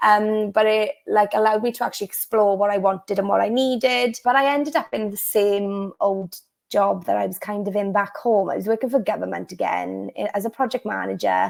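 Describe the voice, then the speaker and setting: With hardly any pauses, a woman speaks at a fairly quick pace in a Welsh accent, in a very clean recording with a silent background. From South Wales. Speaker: law of attraction coach. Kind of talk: interview. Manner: casual, filler-heavy.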